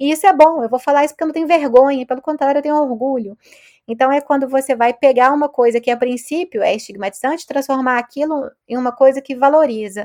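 On a very clean recording with a silent background, a woman speaks very fast at a high pitch with ordinary pitch variation. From Brazil, Belo Horizonte. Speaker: sociologist professor. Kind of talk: interview.

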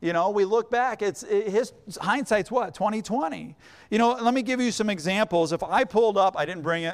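This man has a high pitch and an American accent. He speaks at a fairly quick pace with ordinary pitch variation. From northern Indiana. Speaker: church finance minister. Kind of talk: sermon. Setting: church.

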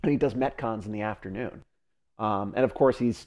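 The tone is dark and mellow, the pace moderate, and the background quiet. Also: man. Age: 30s. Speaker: fitness podcast co-host. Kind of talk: casual chat.

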